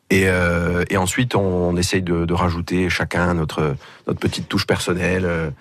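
A man with a very deep, low pitch talks at a moderate pace in a monotone, flat way. His loudness stays very even against a quiet background. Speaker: rock band musician. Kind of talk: casual interview chat.

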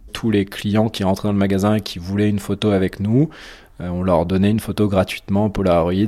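A man speaks in a dark, mellow tone. His pitch is fairly low and his intonation fairly even. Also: fairly quick pace. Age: 30s. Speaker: real estate agent telling his story. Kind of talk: testimony. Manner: hesitant, many fillers.

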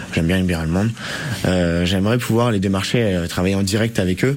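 Over noticeable background noise, a man talks in a fairly low pitch. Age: 20s. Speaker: bar owner. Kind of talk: radio interview. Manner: halting.

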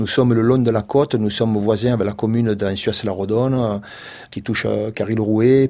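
Delivered at a fairly quick pace with a Marseille accent, the voice has a dark, mellow tone and monotone, flat intonation. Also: man. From Provence, Le Rove near Marseille. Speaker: goat farmer. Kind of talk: radio interview. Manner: halting.

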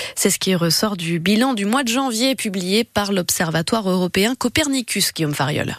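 With an unremarkable speaking voice, a woman speaks at medium pitch and a moderate pace, her intonation lively, in a dry, close sound with no echo. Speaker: radio news presenter. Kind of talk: news reading. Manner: formal.

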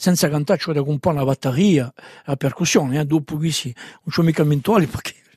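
A man's voice sits at a fairly high pitch and sounds somewhat breathy. His pitch varies in an ordinary way. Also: dry, close sound with no echo. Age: 70s. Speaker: singer and songwriter. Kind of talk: interview.

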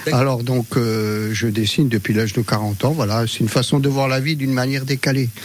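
A man talks at a fairly quick pace with hardly any pauses. Noticeable background noise runs behind him. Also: medium pitch for a man, fairly even intonation. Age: old. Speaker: retired caricaturist, radio listener. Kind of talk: casual interview.

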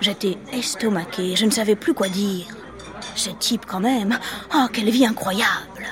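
A woman talks at a fairly slow pace and with ordinary pitch variation while noticeable background noise continues. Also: medium pitch for a woman. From Marseille, southern France. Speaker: podcast storyteller. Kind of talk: scripted narration. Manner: animated.

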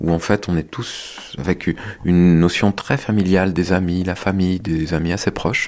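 With noticeable background noise behind him, a man speaks at a fairly slow pace in a very deep, low pitch. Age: 40s. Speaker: sheep farmer. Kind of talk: testimony. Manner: halting.

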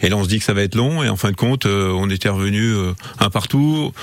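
A man talks at a moderate pace and a fairly low pitch. Noticeable background noise can be heard. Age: 60s. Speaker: football coach. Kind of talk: radio interview. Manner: hesitant, many fillers.

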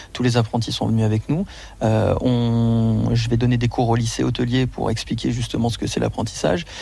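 The speech moves at a moderate pace. Its loudness stays very even throughout. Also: man. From France, Auvergne. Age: 30s. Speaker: chef. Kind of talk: radio interview.

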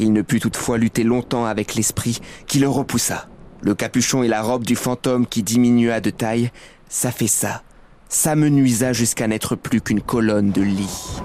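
A man's dark, mellow, solemn voice at a medium pitch, with a moderate pace and fairly even intonation. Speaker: narrator reading the tale. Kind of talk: dramatic narration, scripted storytelling. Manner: hushed, solemn, suspenseful; gravely paced, building tension and dread.

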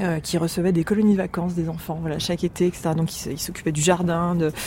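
A woman's voice sits at a fairly low pitch. Noticeable noise fills the background. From western France, Deux-Sèvres. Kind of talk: casual chat. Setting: terrace of apartment.

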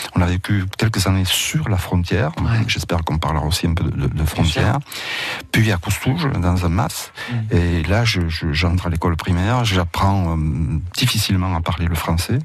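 A man with a very deep, low pitch speaks at a moderate pace, his loudness very even and his pitch variation ordinary. Noticeable background noise runs under his voice. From Roussillon, French Catalonia. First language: Catalan (speaking French). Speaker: university professor and writer. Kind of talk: radio interview. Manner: halting, with repetitions.

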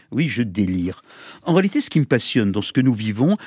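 Recorded with a dry, close sound and no echo, a man talks at a moderate pace with very wide pitch swings. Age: 60s. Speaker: radio sports columnist. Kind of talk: scripted commentary piece.

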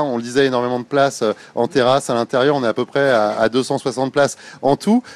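Very fast speech from a man with a fairly high pitch, recorded with a dry, close sound with no echo. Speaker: radio reporter. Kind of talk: live radio reportage, casual chat. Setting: on location in a shopping centre. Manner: animated, chatty.

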